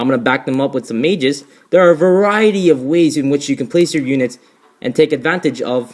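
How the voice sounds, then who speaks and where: Delivering his words at a fairly quick pace, a man shows ordinary pitch variation. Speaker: gaming youtuber. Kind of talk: gameplay commentary. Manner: halting, many fillers and restarts; rushed.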